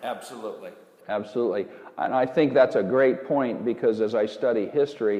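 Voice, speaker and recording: A plain, everyday voice talks at a fairly quick pace. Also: man, medium pitch for a man. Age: 60s. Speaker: former farmer and rancher, health researcher. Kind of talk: interview.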